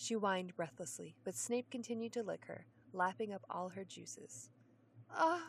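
Natural reading voice, pitch varying in an ordinary way.

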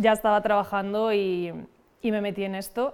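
With a medium pitch, a woman talks in a monotone, flat intonation. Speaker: fashion model. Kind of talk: casual chat.

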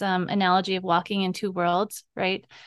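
A woman with an American accent at a fairly quick pace. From Navajo Nation, Arizona (Bennett Freeze area). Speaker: cooperative development worker. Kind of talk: interview.

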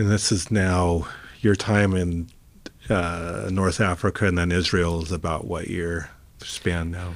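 Speaking at a fairly slow pace, a man with a very deep, low pitch keeps his intonation fairly even. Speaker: interviewer. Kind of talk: casual interview.

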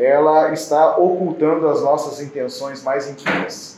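Speaking at a very slow pace, a man is heard amid audible room echo and noticeable background noise. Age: 40s. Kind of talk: sermon. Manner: halting, with fillers.

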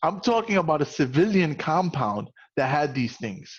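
Lively in intonation, a man with a fairly high pitch speaks in a normal speaking voice. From New York, the Bronx. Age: 40s. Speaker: podcast host. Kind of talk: casual interview chat.

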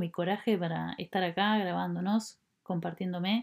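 In a very clean recording with a silent background, a woman with a Uruguayan accent talks at a fairly slow pace and a medium pitch. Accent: Rioplatense Spanish (Uruguayan). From Uruguay, Montevideo. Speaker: podcast host, bamboo designer. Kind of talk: personal reflective monologue. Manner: hesitant, many fillers.

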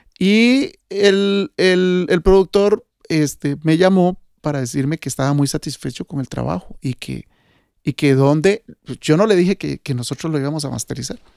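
This man has a fairly high pitch and lively intonation. He talks at a moderate pace. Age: 50s. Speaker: sound engineer. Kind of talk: casual chat. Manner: halting.

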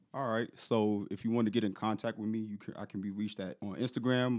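A man speaks at medium pitch in an unremarkable speaking voice. His intonation stays fairly even. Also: very clean recording, silent background. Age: 30s. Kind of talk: casual chat.

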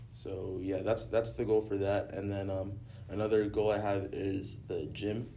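A somewhat breathy voice with an American accent, dark and mellow in tone, at a fairly slow pace with fairly even intonation and audible room echo. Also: man, fairly low pitch for a man. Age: young. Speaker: recent high school graduate. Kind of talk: casual chat.

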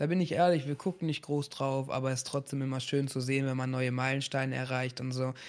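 This man has a normal speaking voice with fairly even intonation. The recording is very clean, with a silent background. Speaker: streamer and event show host. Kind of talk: casual chat.

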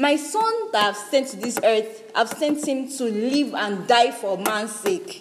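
With a high voice and lively intonation, a woman speaks very slowly with hardly any pauses, over noticeable background noise. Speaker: radio preacher. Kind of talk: sermon. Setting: studio.

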